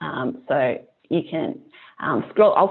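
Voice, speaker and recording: With a strong Australian accent, a woman speaks at a fairly low pitch. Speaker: climate nonprofit staff presenter. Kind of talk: webinar presentation. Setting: online webinar with screen share. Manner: hesitant, many ums.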